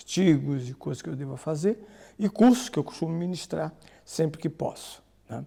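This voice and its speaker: Moderate pace from a man with a fairly high pitch, a dark, mellow tone and ordinary pitch variation. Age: 60s. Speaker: priest and bible scholar. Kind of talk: podcast interview.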